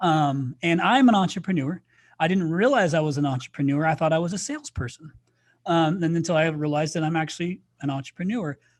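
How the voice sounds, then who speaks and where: Against a quiet background, a man with a US Midwestern accent talks very fast in an animated tone, his fairly high pitch showing ordinary variation. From Indiana, US Midwest. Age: 40s. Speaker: podcast host. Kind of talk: casual chat.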